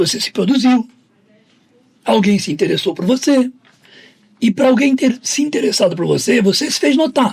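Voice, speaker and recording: Lively intonation runs through this moderate-paced speech, broken by long, frequent pauses. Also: man, extremely high pitch for a man. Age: 60s. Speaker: football agent and negotiation speaker. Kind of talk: podcast interview.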